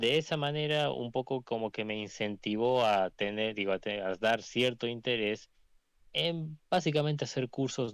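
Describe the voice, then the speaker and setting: A man talks at a moderate pace with ordinary pitch variation, in a dry, close sound with no echo and a very clean recording with a silent background. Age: young. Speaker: aspiring journalist, monarchist movement member. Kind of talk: interview self-introduction. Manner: halting, many self-corrections.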